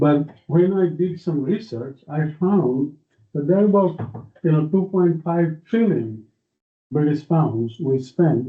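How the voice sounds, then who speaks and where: This is a male speaker. The rise and fall of his pitch is ordinary. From India. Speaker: technology executive, guest lecturer. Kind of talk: lecture. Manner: informal, conversational.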